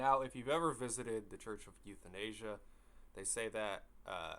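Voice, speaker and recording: A man with a bright, sharp tone and vocal fry speaks at a fairly low pitch and a fairly slow pace. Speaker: horror story narrator. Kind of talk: casual personal storytelling. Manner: casual, rambling.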